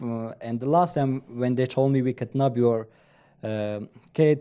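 A man with a strong Afghan accent speaks at a moderate pace in a dark, mellow tone, with fairly even intonation and a quiet background. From eastern Afghanistan. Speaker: Afghan commando, former special forces interpreter/soldier, coffee company employee. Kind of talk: casual interview, storytelling. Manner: halting, non-fluent English.

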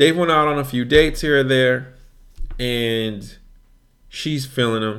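Pausing long and often, a man speaks in an animated tone at medium pitch and a fairly slow pace. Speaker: podcast host. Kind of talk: casual banter, podcast chat. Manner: animated, joking.

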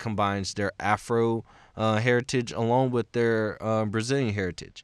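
In a very clean recording with a silent background and a dry, close sound with no echo, a man with a plain, everyday voice speaks at a fairly slow pace, fairly low in pitch with fairly even intonation. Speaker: podcast host, college student. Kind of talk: solo podcast monologue. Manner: casual, with frequent filler words.

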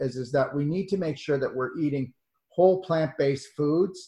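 A man's somewhat breathy, fairly high voice with ordinary pitch variation. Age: 60s. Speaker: natural medicine doctor. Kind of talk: interview.

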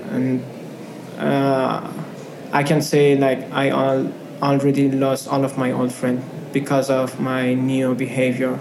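Very slow speech with long, frequent pauses comes in a monotone, flat intonation at very even loudness, with noticeable background noise and audible room echo. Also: man, medium pitch for a man. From Afghanistan. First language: not English. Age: 20s. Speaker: refugee student and photographer. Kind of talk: interview. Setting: office. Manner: hesitant, with fillers.

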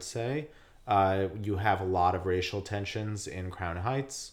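A man with an American accent and an unremarkable speaking voice talks at a fairly low pitch and fairly slow pace, keeping his intonation fairly even. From New York, Rockland County. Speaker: podcast host. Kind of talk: casual chat.

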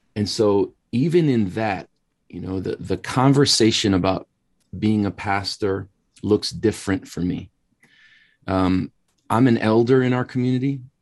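A man with an American accent and an unremarkable speaking voice talks fairly slowly at a fairly low pitch. His pitch variation is ordinary, and the background is quiet. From Wisconsin, US Upper Midwest. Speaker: pastor and ministry school leader. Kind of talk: interview conversation.

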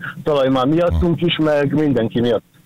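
A man's voice moves at a moderate pace, its pitch shifting ordinarily, while noticeable background noise runs underneath. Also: dry, close sound with no echo. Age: 40s. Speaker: food delivery courier, radio caller. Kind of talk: personal story on a radio call-in. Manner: halting.

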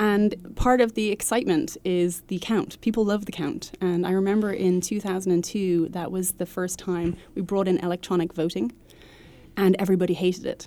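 With a Dublin accent, the voice has a dark, mellow tone and ordinary pitch variation. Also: woman, medium pitch for a woman, moderate pace. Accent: Irish (Dublin). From Ireland, Dublin. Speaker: nonprofit head, former diplomat. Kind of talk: interview. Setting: studio.

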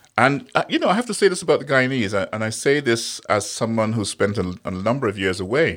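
A man with a medium-pitched voice talks at a very fast pace with hardly any pauses. His intonation is lively. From Guyana. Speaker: Guyanese commentator on environment and tourism. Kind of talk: casual interview. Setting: studio.

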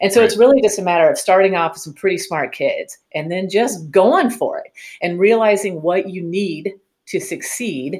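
A woman's normal speaking voice at medium pitch, with ordinary pitch variation, a moderate pace and big swings in loudness. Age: 50s. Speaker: quiz bowl coach and teacher. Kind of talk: interview.

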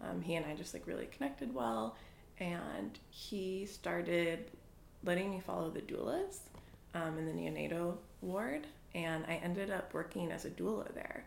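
Speaking at a moderate pace with an American accent, a woman is heard with audible room echo. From New England (Boston and New Hampshire). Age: 20s. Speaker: interviewee. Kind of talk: casual chat.

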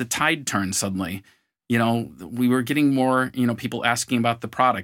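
With a Western New York accent, the voice moves at a moderate pace with ordinary pitch variation in a very clean recording with a silent background. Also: man. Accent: Western New York American. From US, Buffalo, New York. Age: 50s. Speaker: marketing executive and co-founder. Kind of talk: interview. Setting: studio.

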